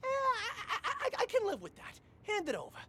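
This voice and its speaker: A squeaky, put-on character voice at an extremely high pitch rattles along at a very fast pace. Clear background noise can be heard. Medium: video game. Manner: stammering, wheedling.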